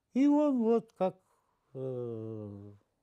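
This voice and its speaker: A man speaks with a dark, mellow tone against a quiet background. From Russia, near the Ukrainian border. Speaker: film director. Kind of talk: interview reminiscence; interview answer. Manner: halting, many fillers. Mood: reflective, animated reminiscing. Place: home room. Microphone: lapel.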